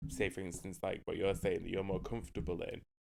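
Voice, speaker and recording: Recorded very cleanly against a silent background, a man talks with a Mancunian accent. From northern England, Manchester. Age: 30s. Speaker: podcast co-host. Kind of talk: casual chat. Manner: loud, expressive.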